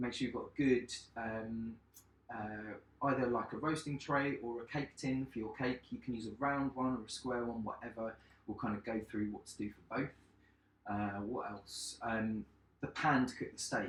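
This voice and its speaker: Music plays in the background as a man speaks at a moderate pace. His pitch is medium, his intonation fairly even. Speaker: chef. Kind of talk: cooking tutorial livestream. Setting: home kitchen, live stream. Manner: loud.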